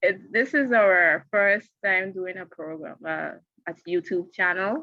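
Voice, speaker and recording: Her medium-pitched voice bright and sharp, a woman with a Guyanese accent speaks at a very slow pace with lively intonation. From Guyana. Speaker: show co-host reviewing TV episodes. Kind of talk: casual review chat.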